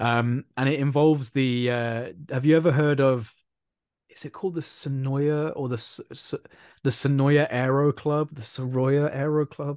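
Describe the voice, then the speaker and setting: A man at medium pitch and moderate pace, with big swings in loudness. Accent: British. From UK. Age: 20s. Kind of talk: casual chat.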